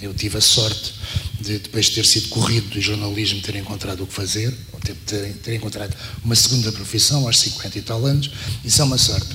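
Amid noticeable background noise and audible room echo, a man with a fairly low pitch speaks at a fairly quick pace with fairly even intonation. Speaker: former journalist and programmer. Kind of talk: panel talk. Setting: university auditorium panel.

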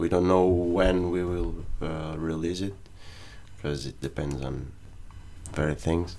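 A man with a Portuguese accent, very deep and low, fairly slow and fairly even in intonation, with long, frequent pauses and audible room echo. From Portugal, Montijo. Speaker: rock band drummer. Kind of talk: casual interview.

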